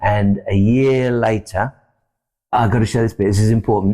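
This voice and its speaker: Over a very clean recording with a silent background, a man with a British accent talks fairly quickly in a medium pitch with a dark, mellow tone. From UK. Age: 60s. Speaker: success coach. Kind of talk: podcast interview. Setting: studio.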